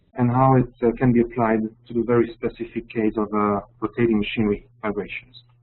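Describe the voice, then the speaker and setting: A man with a French accent, medium-pitched, speaking at a fairly quick pace in a flat, monotone delivery. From France. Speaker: application engineer. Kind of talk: webinar presentation. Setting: online webinar. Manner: halting, many fillers.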